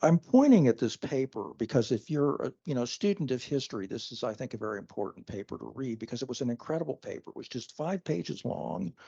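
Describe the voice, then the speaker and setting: Fairly quick, lively speech from a man with a dark, mellow tone, medium pitch and vocal fry, in a dry, close sound with no echo. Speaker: professor, computational biologist. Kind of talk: lecture. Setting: lecture hall with audience. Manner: halting, many fillers and restarts.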